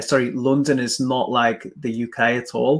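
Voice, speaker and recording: A man speaks with an English accent. His intonation is fairly even. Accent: English accent, remarked on. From England. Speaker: podcast host, marketer. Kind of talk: interview on a live stream. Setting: live video stream.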